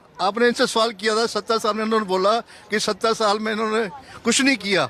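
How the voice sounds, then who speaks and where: Noticeable background noise surrounds a man speaking in a raised, projected voice. His pitch is high and his pace moderate. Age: 70s. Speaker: member of the public interviewed. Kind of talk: street vox pop debate. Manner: animated.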